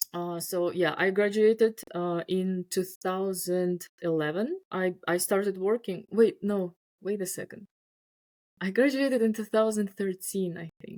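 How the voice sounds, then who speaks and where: A woman with a Russian accent speaks at a fairly slow pace and a medium pitch, with fairly even intonation and big swings in loudness, in a dry, close sound with no echo on a very clean recording with a silent background. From Uzbekistan. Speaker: scientist. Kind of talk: casual chat. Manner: halting.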